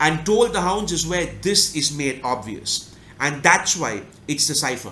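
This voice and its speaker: A man with a fairly high pitch and a Tamil accent speaks fairly slowly with lively intonation over noticeable background noise. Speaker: book review YouTuber. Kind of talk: casual analytical monologue.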